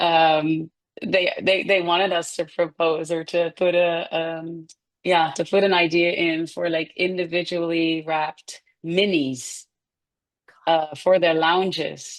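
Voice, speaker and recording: A woman's fairly low voice in a Dutch accent, monotone and flat, at a very slow pace. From Netherlands. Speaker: food company founder. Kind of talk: casual interview.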